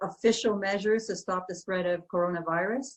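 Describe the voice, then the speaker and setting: At a fairly quick pace, a woman with a Canadian accent talks at a medium pitch. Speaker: ambassador. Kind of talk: welcoming remarks at online panel. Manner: fast.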